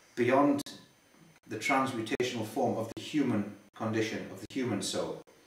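Audible room echo surrounds a man's voice. His intonation stays fairly even. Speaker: interviewee. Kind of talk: interview answer. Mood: earnest, explanatory. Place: home room. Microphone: camera far.

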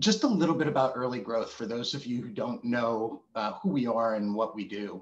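A man speaks with a normal speaking voice and an American accent. His pitch is medium with ordinary variation, at a moderate pace. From New Jersey. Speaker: webinar host, marketing executive. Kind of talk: webinar presentation. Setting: video call. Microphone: video call.

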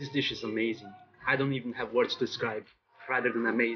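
A man talks at a fast pace with a slightly husky edge. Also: medium pitch for a man, fairly even intonation.

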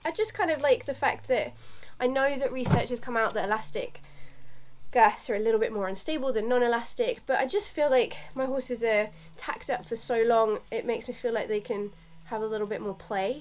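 Over light background noise, a woman with a high pitch speaks at a fairly quick pace with ordinary pitch variation. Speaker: equestrian vlogger. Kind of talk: casual vlog chat. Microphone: camera far.

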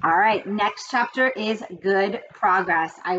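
The reading is delivered in an unforced reading voice with ordinary pitch variation.

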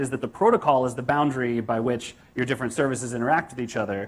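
A man with an American accent talks. His pace is very fast. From United States. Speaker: software developer and conference speaker. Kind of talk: conference talk. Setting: stage with audience. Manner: casual with frequent fillers. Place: hall.

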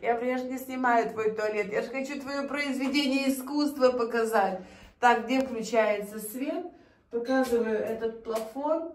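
The woman's voice is high-pitched. Audible room echo surrounds it. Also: fairly slow pace. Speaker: vlogger. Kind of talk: casual vlog narration. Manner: animated. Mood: admiring, cheerful. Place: home room. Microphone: phone near.

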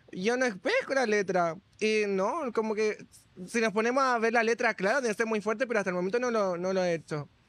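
A man with a Chilean accent, high-pitched and fairly quick, the sound dry with no echo and the loudness very even. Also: ordinary pitch variation. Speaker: entertainer; podcast guest. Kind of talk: casual chat. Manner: animated. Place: cafe. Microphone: studio mic.

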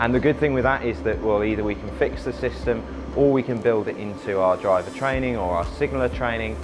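With music in the background, a man speaks at a fairly low pitch. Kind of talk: interview answer. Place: station.

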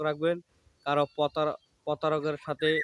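The voice belongs to a man and sits fairly high in pitch. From Bangladesh, Mymensingh. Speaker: YouTuber and fruit trader. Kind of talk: outdoor vlog monologue. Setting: outdoors in a lemon orchard.

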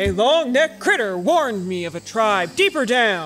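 A man puts on a character voice at a high pitch and a moderate pace. Clear background noise is audible. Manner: boastful, gruff.

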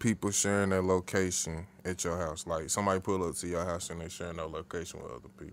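A man speaks at a very fast pace. His voice is very deep and low-pitched. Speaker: podcast co-host. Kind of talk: casual chat.

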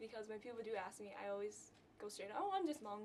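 Speech comes in a Southeast Asian accent. There is light background noise. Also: woman. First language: Hmong. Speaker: college student. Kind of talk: interview testimony. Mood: cheerful, relaxed. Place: office.

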